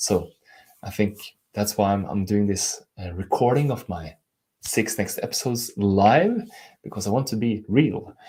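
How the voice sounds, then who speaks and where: A man's somewhat breathy voice with a Norwegian accent, fairly low pitch, dark, mellow tone and ordinary pitch variation, at a moderate pace with long, frequent pauses, on a very clean recording with a silent background. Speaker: life coach. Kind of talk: live stream talk. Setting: live stream on camera.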